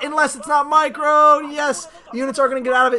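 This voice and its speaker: At a very fast pace, the speaker uses a raised, projected voice and an animated tone over noticeable background noise. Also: man. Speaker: esports commentator. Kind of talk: live commentary.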